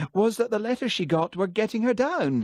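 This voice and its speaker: A man puts on a shrill character voice, high in pitch and anxious in tone. He talks at a fairly quick pace with lively intonation and very even loudness. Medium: read story. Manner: shrill, anxious.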